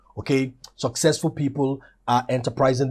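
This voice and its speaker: A man is heard in a very clean recording with a silent background. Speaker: motivational teacher. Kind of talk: motivational lecture. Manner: fast.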